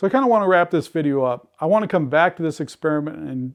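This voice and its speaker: At a fairly quick pace, a man speaks in an unremarkable speaking voice with a fairly high pitch. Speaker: ham radio homesteading YouTuber. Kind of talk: tutorial. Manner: casual, with filler words.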